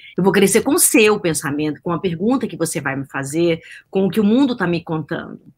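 An ordinary speaking voice moves at a moderate pace with lively intonation on a very clean recording with a silent background. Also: woman. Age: 50s. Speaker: science journalist and behavioral scientist. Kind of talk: interview.

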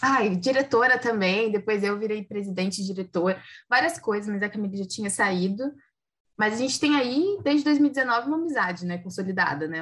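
Against a quiet background, a woman speaks with an ordinary speaking voice at a moderate pace. Her pitch is medium and her intonation lively. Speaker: podcast host. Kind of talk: casual chat.

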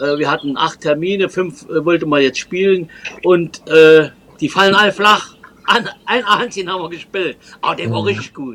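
A man with a high pitch, a bright, sharp tone and lively intonation, at a moderate pace with long, frequent pauses. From Trier, Germany. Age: old. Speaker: folk musician and tour guide. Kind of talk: interview. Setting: video call.

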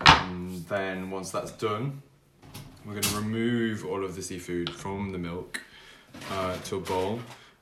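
A man speaks at a fairly slow pace in a very deep, low voice with fairly even intonation. Noticeable background noise and audible room echo fill the recording. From United Kingdom. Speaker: podcast co-host. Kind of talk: casual chat; cooking tutorial.

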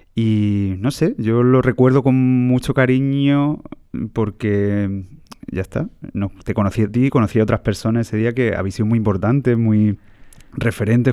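Moving at a moderate pace, a man's fairly low pitch and dark, mellow tone come with ordinary pitch variation. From Andalusia, Jaén province. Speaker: classical guitarist. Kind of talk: casual interview chat. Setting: theatre press room.

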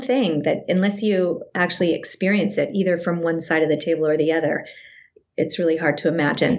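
Speaking at a moderate pace with an American accent, a woman has a fairly low pitch that varies in an ordinary way. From Northern California (Sacramento). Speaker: actress. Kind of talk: casual interview chat.

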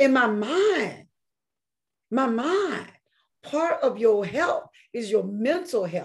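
A woman with a Southern US accent, animated in tone, at a fairly slow pace. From North Carolina, Kinston. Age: 50s. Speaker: educator and health product entrepreneur. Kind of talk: casual interview chat; product pitch.

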